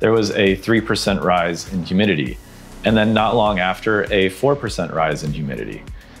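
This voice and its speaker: A man talks at a fairly quick pace in a fairly low pitch. Faint music plays in the background. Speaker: smart home reviewer. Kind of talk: tutorial. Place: home room. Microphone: lapel.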